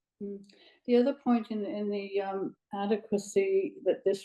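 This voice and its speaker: Someone with a British accent talks at a moderate pace with ordinary pitch variation. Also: woman. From Britain. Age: 80s+. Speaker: audience member. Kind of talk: panel discussion question. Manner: halting.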